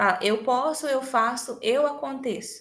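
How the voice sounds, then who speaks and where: Audible room echo surrounds a woman speaking at a high pitch. Her pace is fairly slow and her pitch variation ordinary. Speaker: sales trainer. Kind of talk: motivational training talk. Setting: recorded online meeting.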